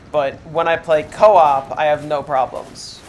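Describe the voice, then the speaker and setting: Noticeable background noise runs behind a man who speaks with fairly even intonation at a moderate pace. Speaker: game streamer. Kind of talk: casual chat.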